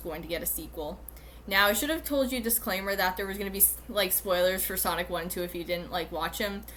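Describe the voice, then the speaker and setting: Audible room echo follows this woman as she talks at a fairly quick pace. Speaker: YouTuber. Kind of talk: casual monologue video. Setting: recorded at home on computer. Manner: halting, many fillers.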